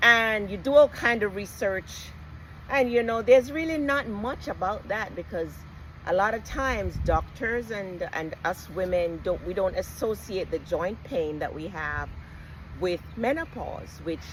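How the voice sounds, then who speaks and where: A woman at medium pitch speaks with lively intonation and vocal fry. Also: fairly slow pace. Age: 60s. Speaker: retired nurse and health vlogger. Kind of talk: casual personal talk to camera.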